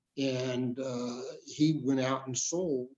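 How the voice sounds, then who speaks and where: A normal speaking voice with an American accent and ordinary pitch variation is heard. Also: man. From El Paso, Texas. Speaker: trial lawyer. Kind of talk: interview answer.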